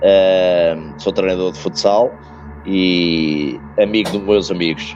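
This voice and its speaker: A man's very deep, low voice with a European Portuguese accent, fairly even intonation, and music in the background. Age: 50s. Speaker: futsal coach. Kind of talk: interview. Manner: hesitant, many fillers and repetitions.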